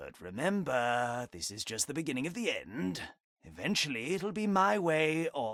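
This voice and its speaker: Putting on a character voice, a man speaks at a moderate pace in a fairly high pitch with very wide swings, on a very clean recording with a silent background. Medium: video game. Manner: insinuating.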